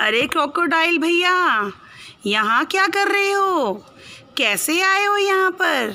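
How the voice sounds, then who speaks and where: Using a put-on character voice, a woman talks at a fairly slow pace with an extremely high pitch. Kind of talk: children's storytelling. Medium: read story. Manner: cheerful, then indignant.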